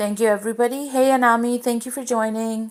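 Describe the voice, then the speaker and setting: Very fast delivery with fairly even intonation in a very clean recording over a silent background. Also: woman. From Pakistan. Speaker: cooking livestreamer. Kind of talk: cooking livestream demonstration. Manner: casual, chatty with fillers.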